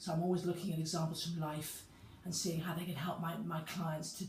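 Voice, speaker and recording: Here is a woman with a fairly low pitch. Room echo can be heard around her voice. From UK. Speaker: personal trainer. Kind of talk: talking-head video monologue. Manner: halting.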